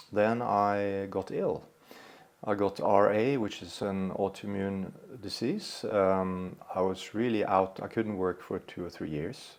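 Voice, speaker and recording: Very slow in pace, the speech holds a fairly even intonation. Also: man. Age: 60s. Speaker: psychotherapist. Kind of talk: podcast interview. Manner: hesitant, many fillers.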